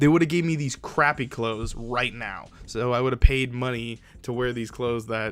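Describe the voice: With ordinary pitch variation, the delivery amounts to plain reading aloud.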